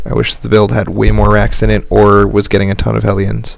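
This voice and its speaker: Noticeable background noise around a man talking at a fairly quick pace. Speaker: game coach. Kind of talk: coaching replay commentary. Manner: quiet, trying to talk softly; usually loud and enthusiastic when casting.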